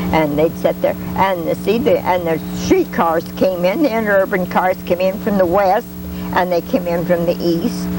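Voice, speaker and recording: A woman talks at a moderate pace with very even loudness. Noticeable noise sits in the background. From Union City. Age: 80s+. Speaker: local resident recalling town history. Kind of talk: interview answer. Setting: outdoors.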